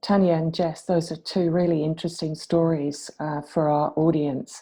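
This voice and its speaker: In an English accent, a woman with a fairly low pitch and a dark, mellow tone speaks over a quiet background. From England. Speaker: academic chemist, panelist. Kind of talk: panel discussion.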